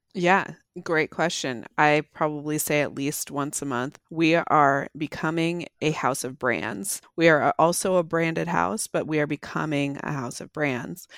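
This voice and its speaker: A woman with a very deep, low pitch and vocal fry speaks at a fairly slow pace with hardly any pauses and ordinary pitch variation, on a very clean recording with a silent background and a dry, close sound with no echo. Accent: American. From US Pacific Northwest. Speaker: marketing executive. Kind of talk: interview.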